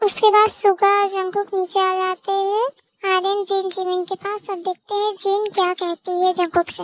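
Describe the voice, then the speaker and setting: A squeaky, put-on character voice at a moderate pace, delivered in a flat monotone. The sound is dry and close, with no echo. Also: woman, extremely high pitch for a woman. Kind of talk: casual storytelling. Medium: read story.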